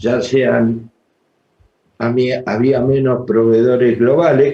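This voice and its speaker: Speaking very slowly, a man uses a medium pitch and a dark, mellow tone. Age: 60s. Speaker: trade union leader. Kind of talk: panel talk.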